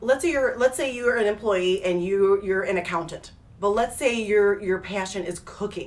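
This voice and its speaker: Talking at a fairly quick pace, a woman has an unremarkable speaking voice at medium pitch. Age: 40s. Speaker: hair stylist and business owner. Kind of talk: casual live video talk. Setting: live stream. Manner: chatty with many fillers.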